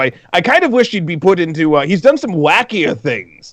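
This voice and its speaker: Speaking at a fairly quick pace with a slight British accent, a man lets his pitch swing very widely. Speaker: show DJ and co-host. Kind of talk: casual chat.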